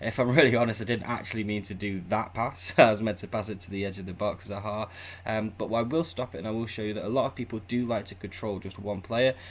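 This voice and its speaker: A man with a British accent, fairly low-pitched, at a very fast pace with hardly any pauses and fairly even intonation. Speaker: gaming YouTuber. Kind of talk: gameplay tutorial commentary. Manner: casual.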